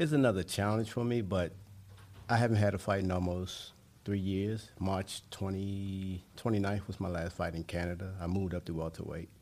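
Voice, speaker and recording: A man's very deep, low voice with fairly even intonation, in a very clean recording against a silent background. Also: moderate pace. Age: 40s. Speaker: former pro boxer, bare knuckle fighter. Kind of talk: casual interview. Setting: live event venue.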